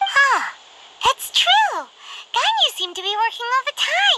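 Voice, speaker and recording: The speaker uses a squeaky put-on character voice with an extremely high pitch. The pace is moderate. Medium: video game. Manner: chatty, exclamatory.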